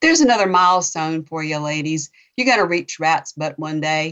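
A woman speaks in a Southern US accent with lively intonation. Her pace is fairly quick. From North Florida, Chattahoochee. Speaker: novelist. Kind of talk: interview.

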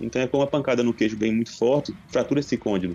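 This man's tone is dark and mellow, and his intonation stays fairly even. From Pernambuco, Brazil. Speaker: dentist. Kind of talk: casual chat.

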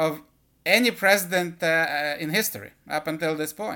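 Here a man speaks at a moderate pace. His voice is high in pitch, with a bright, sharp tone. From Israel. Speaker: political podcast host. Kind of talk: solo political commentary monologue. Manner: halting, many fillers.

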